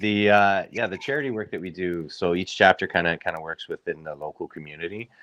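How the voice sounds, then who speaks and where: A man talks very fast with hardly any pauses, his very deep, low pitch carrying a bright, sharp tone and ordinary pitch variation. The sound is dry and close, with no echo. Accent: Canadian. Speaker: riding club member. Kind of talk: casual interview.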